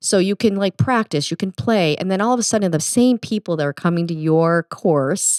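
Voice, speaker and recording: A woman with a Midwestern accent talks at a fairly quick pace with hardly any pauses, her medium-pitched voice full of lively intonation, in a very clean recording with a silent background and a dry, close sound with no echo. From US Midwest. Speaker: golf podcast co-host. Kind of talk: casual chat.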